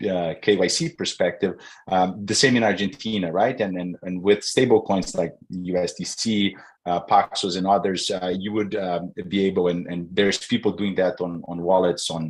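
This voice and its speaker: In a Brazilian Portuguese accent, a man with a very deep, low pitch speaks at a moderate pace with fairly even intonation in a very clean recording with a silent background. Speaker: conference panelist. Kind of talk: panel discussion.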